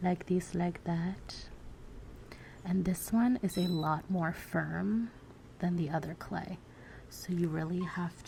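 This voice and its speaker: Relaxed and somewhat breathy, a woman speaks very slowly in a dark, mellow tone at a fairly low pitch with ordinary pitch variation. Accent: American. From United States (Virginia). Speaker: self-taught surrealist artist. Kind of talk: ASMR soft-spoken talk to camera. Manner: soft-spoken, relaxed.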